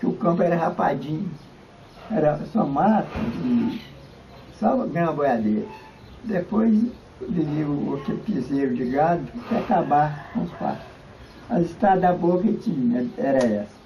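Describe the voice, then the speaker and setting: A man's voice, high-pitched for a man, with very wide pitch swings, long and frequent pauses, audible room echo and noticeable background noise. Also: fairly slow pace. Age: 80s+. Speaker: local elderly resident, former cattle drover. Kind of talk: interview reminiscence. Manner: halting.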